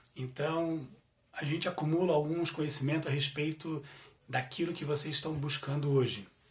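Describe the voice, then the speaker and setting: Noticeable background noise and audible room echo surround a man's fairly high voice. He speaks at a moderate pace with fairly even intonation. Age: 40s. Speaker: business administrator. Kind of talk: guest lecture. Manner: halting, filler-heavy.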